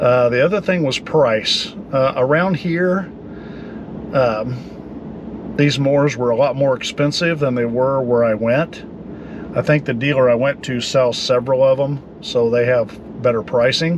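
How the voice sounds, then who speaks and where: A man at a fairly slow pace, with long, frequent pauses, dry sound with no echo and noticeable background noise. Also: ordinary pitch variation. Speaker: travel vlogger. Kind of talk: casual vlog chat. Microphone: phone near.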